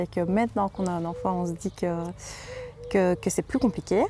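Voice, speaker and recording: A woman with a Liège accent speaks at a fairly low pitch. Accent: Liège Belgian French. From Belgium, Liège region. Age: 20s. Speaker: home nurse and mother. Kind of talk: interview testimony. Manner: halting, many hesitations.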